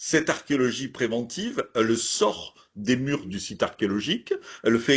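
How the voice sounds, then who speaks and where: Lively intonation marks this medium-pitched man, who speaks with a southern French accent. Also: quiet background. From southern France, Hérault area. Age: old. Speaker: archaeologist. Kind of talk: lecture. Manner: hesitant, many fillers.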